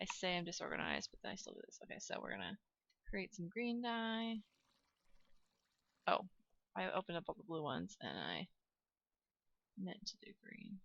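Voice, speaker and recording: A soft-spoken woman talks at a moderate pace, with big swings in loudness and long, frequent pauses. The sound is dry and close with no echo. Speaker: gaming youtuber. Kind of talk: gameplay commentary. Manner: halting.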